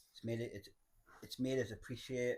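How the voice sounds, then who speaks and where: The speaker, somewhat breathy, talks at a moderate pace with a Geordie accent. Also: man. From northern England, Cramlington near Newcastle. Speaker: person in addiction recovery. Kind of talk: testimony.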